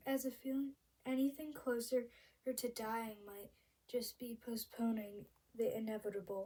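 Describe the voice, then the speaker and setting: A woman speaks at a moderate pace, her pitch fairly high and her intonation fairly even. Her dark, mellow tone is also squeaky. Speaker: amateur reader. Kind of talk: novel read-aloud. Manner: halting, stumbles over words.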